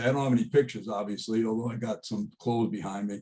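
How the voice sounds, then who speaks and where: A very fast man with an American accent and a dark, mellow tone. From US Northeast. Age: 60s. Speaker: college alumnus sharing life stories. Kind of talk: casual storytelling. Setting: video call. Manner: animated.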